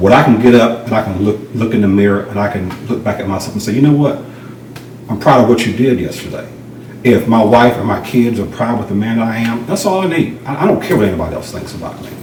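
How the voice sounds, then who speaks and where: In a Southern US accent, a man talks very fast at a medium pitch with ordinary pitch variation, amid noticeable background noise and audible room echo. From rural North Carolina. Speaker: realtor, former law enforcement officer. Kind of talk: interview.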